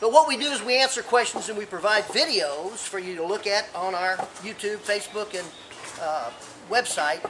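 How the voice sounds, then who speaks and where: Through audible room echo and noticeable background noise comes a man's high-pitched voice with lively intonation. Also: moderate pace. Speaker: gardening expert. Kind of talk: tutorial. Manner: enthusiastic.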